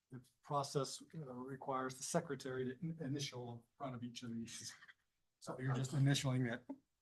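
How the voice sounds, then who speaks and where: A somewhat breathy man's voice at medium pitch, fairly quick in pace, in a monotone, flat intonation. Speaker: city economic development advisor presenting bond documents. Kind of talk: public meeting presentation. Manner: halting, many fillers (uh, um).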